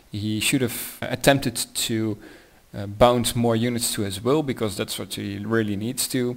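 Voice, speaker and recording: A man's medium-pitched, fairly slow speech with fairly even intonation, in a very clean recording with a silent background. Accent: Dutch. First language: Dutch. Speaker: tabletop wargaming hobbyist. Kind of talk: battle report narration. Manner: halting, many fillers.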